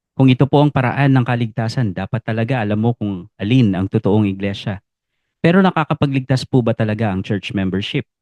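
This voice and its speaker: A man with an unremarkable speaking voice talks at a fairly quick pace, with medium pitch and ordinary pitch variation. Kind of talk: Bible teaching explainer. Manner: polite, formal.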